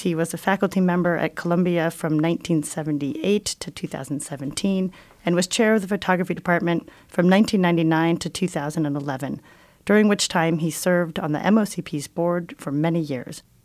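A woman of fairly low pitch speaks with a normal speaking voice and ordinary pitch variation. The pace is moderate, and the recording is very clean with a silent background. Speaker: museum director and podcast host. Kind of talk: interview conversation. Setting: radio station studio.

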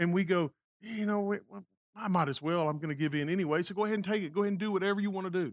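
Speaking very fast in an animated tone, a man uses a high pitch with ordinary pitch variation. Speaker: pastor. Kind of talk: sermon. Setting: church. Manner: animated, talks with his hands.

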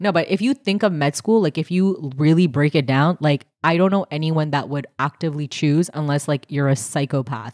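A woman with a very deep, low voice speaks at a moderate pace with ordinary pitch variation and hardly any pauses, on a very clean recording with a silent background and a dry, close sound with no echo. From Canada. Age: 30s. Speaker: comedian. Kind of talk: casual chat.

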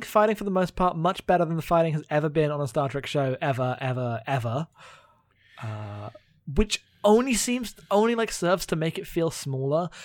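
Delivered at a moderate pace, this man's fairly high voice swings very widely in pitch. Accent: British. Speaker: podcast co-host. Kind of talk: casual chat.

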